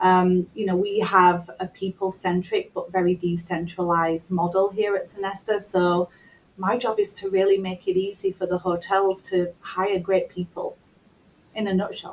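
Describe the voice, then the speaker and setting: A woman speaks in a British accent at a medium pitch. Her pace is moderate and her intonation is monotone and flat. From United Kingdom. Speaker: talent acquisition executive. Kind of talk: interview.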